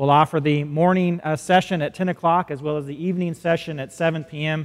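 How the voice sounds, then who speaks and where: A man's monotone, flat delivery at a moderate pace over a quiet background. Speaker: pastor. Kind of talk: church announcements. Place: church. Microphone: lapel.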